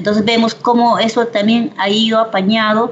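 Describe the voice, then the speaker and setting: A woman with a somewhat breathy voice talks at a fairly slow pace. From Peru, Ayacucho. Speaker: political analyst. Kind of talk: interview. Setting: video call.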